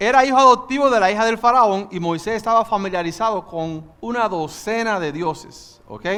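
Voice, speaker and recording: A man with a bright, sharp tone, lively intonation and a moderate pace. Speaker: pastor. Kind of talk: sermon. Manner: animated.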